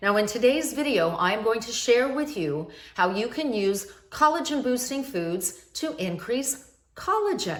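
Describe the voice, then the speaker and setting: At a moderate pace, a woman speaks in a high voice with very wide pitch swings, with audible room echo and noticeable background noise. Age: 60s. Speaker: anti-aging skincare expert, video host. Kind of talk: tutorial.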